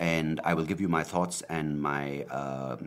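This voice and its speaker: A man with a very deep, low pitch, ordinary pitch variation and vocal fry. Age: 30s. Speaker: podcaster. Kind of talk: casual monologue. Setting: home video recording. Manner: hesitant, many fillers.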